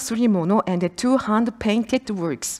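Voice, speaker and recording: Intonation here is lively. Behind it, the background is quiet. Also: woman. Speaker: university researcher; conference presenter. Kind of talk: conference presentation. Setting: conference hall with audience. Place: hall. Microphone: podium.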